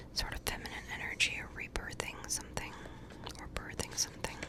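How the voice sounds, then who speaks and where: A woman whispers over noticeable background noise. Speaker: ASMR creator and tarot reader. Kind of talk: whispered tarot card meanings being read out. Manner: whispered, soft, slow.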